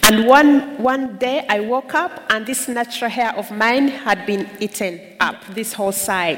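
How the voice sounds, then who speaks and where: Through noticeable background noise, a woman with a fairly high pitch and ordinary pitch variation speaks at a fairly slow pace with hardly any pauses. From Uganda, Kisoro/Kigezi region. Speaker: charity worker and public speaker. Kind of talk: testimony.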